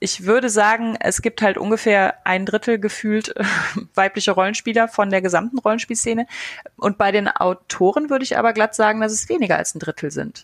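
Over a dry, close sound with no echo, a woman with an unremarkable speaking voice talks at a fairly quick pace and fairly high pitch, with ordinary pitch variation. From western Germany, Eifel. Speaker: podcast host and author. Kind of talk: casual chat.

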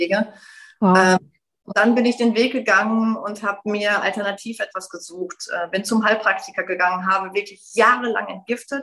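A woman with a bright, sharp tone speaks at a moderate pace and medium pitch, her intonation fairly even. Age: 40s. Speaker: yoga teacher and widowed mother. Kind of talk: personal testimony in interview.

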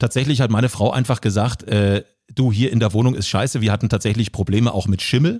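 Recorded very cleanly against a silent background, a man talks at a fairly quick pace in a normal speaking voice at a medium pitch. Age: 30s. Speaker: social media entertainer and producer. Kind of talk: casual chat.

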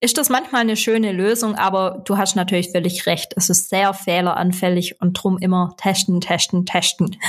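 In a Swabian accent, a woman speaks at a medium pitch and moderate pace with hardly any pauses. Her intonation is fairly even and her loudness very even. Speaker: SEO consultant and podcast host. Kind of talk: casual interview.

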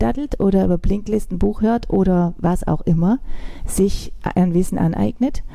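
Over noticeable background noise, a woman talks at a medium pitch and moderate pace with ordinary pitch variation. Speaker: style and strategy consultant. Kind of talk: interview answers.

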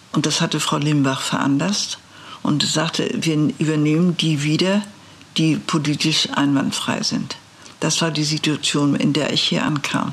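A very deep, low female voice at a fairly slow pace, with very even loudness, ordinary pitch variation and noticeable background noise. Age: 80s+. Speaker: lawyer and former justice minister. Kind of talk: interview. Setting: law office.

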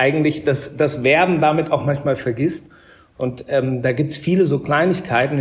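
Somewhat breathy, a man speaks at a moderate pace. His pitch varies in an ordinary way. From Upper Bavaria, Germany (Murnau). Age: 30s. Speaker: hotel director. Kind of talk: interview. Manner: hesitant, many fillers.

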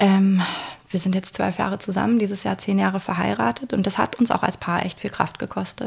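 Fairly quick female speech at medium pitch, ordinary pitch variation, noticeable background noise throughout. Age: 30s. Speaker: lawyer and recruiter. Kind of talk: interview conversation.

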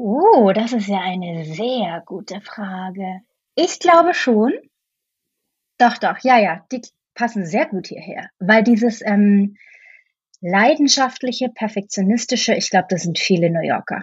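At a fairly slow pace with long, frequent pauses, a woman talks in a fairly high, somewhat breathy voice with lively intonation. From Franconia, Bavaria. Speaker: actress and musical performer. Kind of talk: casual interview chat.

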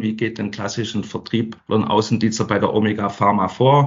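Here is a man with an unremarkable speaking voice. He keeps a moderate pace at a medium pitch. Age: 50s. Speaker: sales training manager. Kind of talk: interview.

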